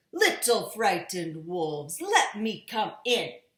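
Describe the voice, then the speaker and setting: A growling, put-on character voice moves at a fairly slow pace. There is a slight echo. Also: fairly high pitch. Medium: read story. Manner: grunting.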